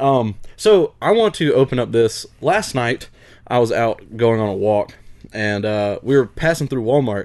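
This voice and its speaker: In a Southern US accent, a man talks at a medium pitch with ordinary pitch variation. He speaks at a fairly slow pace against a quiet background. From US South. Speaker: podcast host. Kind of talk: casual chat.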